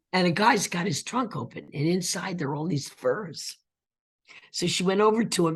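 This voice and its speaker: At a moderate pace, a woman speaks at medium pitch with a somewhat breathy voice and lively intonation. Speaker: actress. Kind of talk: interview answer.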